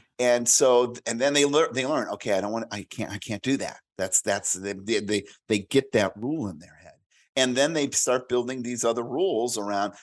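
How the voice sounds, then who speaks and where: Over a quiet background, a man with a plain, everyday voice talks at a moderate pace and medium pitch, with ordinary pitch variation. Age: 50s. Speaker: career and business coach, author. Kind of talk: casual interview.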